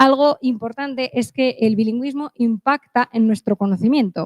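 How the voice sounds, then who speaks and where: A woman's fairly high voice at a moderate pace, fairly even in intonation, with a dry, close sound and no echo. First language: English (speaking Spanish). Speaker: conference speaker. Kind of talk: conference talk.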